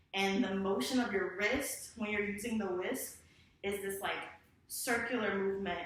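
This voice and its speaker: Over noticeable background noise and audible room echo, a woman talks at a medium pitch with fairly even intonation. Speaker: dance teacher. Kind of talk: tutorial. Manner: casual, many fillers; counting beats rhythmically.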